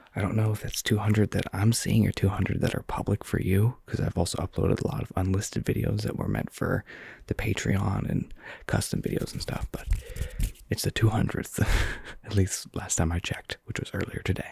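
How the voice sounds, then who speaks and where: A soft-spoken man whispers at a fairly quick pace in a dry, close sound with no echo. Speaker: ASMR content creator. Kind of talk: ASMR soft-spoken rambling. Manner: whispering.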